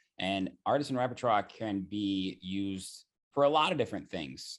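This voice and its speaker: A man's fairly low-pitched voice with an American accent, over a quiet background. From US Midwest, Zionsville, Indiana. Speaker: DJ, producer and podcast host. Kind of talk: podcast interview. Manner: animated.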